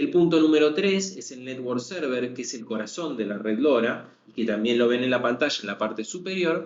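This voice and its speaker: In an Argentine accent, a man of medium pitch speaks at a moderate pace with hardly any pauses, his loudness rising and falling sharply in a room with audible echo. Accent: Argentine (Rioplatense) Spanish. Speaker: sales manager presenting a technical webinar. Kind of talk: webinar lecture. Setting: online webinar.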